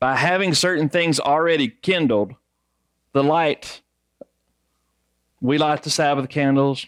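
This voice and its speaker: A man's fairly slow speech, dry and close with no echo, over a quiet background. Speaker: congregation teacher. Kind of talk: sermon.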